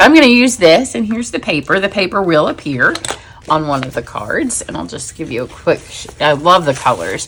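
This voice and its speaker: Over noticeable background noise, a woman with a fairly low pitch talks at a fairly quick pace, her pitch swinging very widely and her loudness shifting a lot. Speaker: paper crafting demonstrator. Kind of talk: tutorial. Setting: home craft studio. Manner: fast; casual, chatty.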